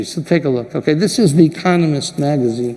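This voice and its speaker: Over noticeable background noise, a man speaks at a moderate pace in a fairly high pitch with ordinary pitch variation. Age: 60s. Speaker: diamond industry leader giving keynote speech. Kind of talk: keynote speech. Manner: animated.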